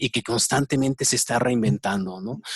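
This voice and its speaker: A man speaks with a Mexican accent. The sound is dry and close, with no echo. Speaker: interviewer, enneagram expert. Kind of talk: interview. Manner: halting, repetitive fillers.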